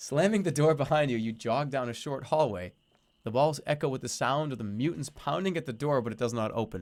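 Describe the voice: This is plain reading aloud. The text is read out in a plain manner.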